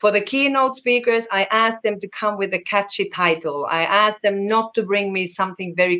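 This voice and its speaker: Her Finnish accent clear, a woman speaks at a moderate pace in a medium pitch with ordinary pitch variation and a bright, sharp tone. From Finland. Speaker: conference program director. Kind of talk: interview. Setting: video call.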